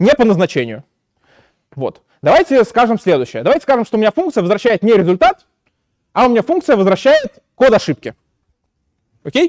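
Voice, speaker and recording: Against a quiet background, a man talks at a fairly quick pace in a high pitch with very wide pitch swings. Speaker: university lecturer. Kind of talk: lecture. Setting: lecture hall. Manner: hesitant, many filler sounds. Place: classroom.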